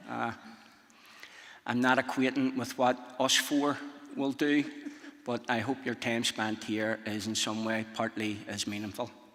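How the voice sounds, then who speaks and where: With a strong Northern Irish accent, a man speaks at medium pitch and a fairly slow pace, his intonation fairly even and his pauses long and frequent. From Northern Ireland. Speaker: speaker. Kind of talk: conference talk. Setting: stage with audience.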